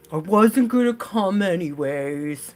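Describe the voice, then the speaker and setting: A man puts on a character voice, high in pitch and fairly slow in pace. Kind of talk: low-energy monotone. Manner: slow, gloomy, droopy.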